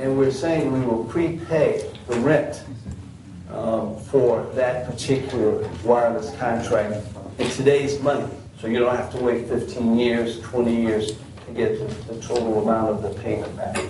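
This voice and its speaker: A man speaks at a medium pitch and a fairly slow pace, his intonation fairly even. Audible room echo and noticeable background noise fill the recording. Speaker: business representative presenting to county board. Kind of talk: business presentation at public meeting.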